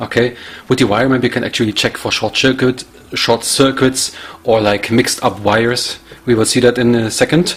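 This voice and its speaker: With a German accent, a man speaks at a moderate pace and medium pitch, over noticeable background noise. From Germany. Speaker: tech YouTuber. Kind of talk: product review tutorial. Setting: home lab. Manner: casual, halting with fillers.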